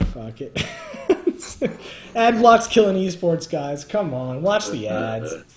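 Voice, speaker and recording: Amid noticeable background noise, a man talks very slowly with long, frequent pauses, big swings in loudness and very wide pitch swings. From Canada. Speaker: live stream host. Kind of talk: casual chat. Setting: live stream.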